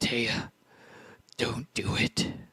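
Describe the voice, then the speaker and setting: Using a put-on character voice, a man speaks in a raspy tone. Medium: actual play.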